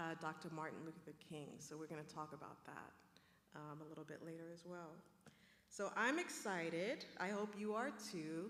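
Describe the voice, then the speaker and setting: Audible room echo surrounds a woman speaking at a fairly low pitch. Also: ordinary pitch variation, moderate pace. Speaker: professor and panel moderator. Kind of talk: panel discussion moderation. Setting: stage with live audience. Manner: warm, conversational.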